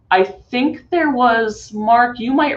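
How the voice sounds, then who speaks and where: The woman talks at a very slow pace. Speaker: conference presenter. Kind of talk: webinar presentation.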